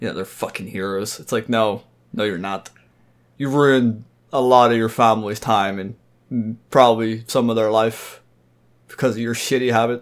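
Delivery comes at a moderate pace with fairly even intonation. Long, frequent pauses break up the speech. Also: man, medium pitch for a man. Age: 20s. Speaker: podcast guest. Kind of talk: casual chat.

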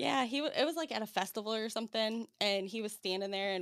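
This woman speaks in a playful tone. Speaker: podcast host. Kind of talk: casual chat interview. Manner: laughs often, playful.

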